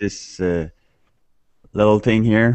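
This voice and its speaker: A man with a Quebec French accent speaks in a fairly low pitch. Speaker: musician, new instrument owner. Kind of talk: casual group video chat. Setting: video call. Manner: halting, hesitant.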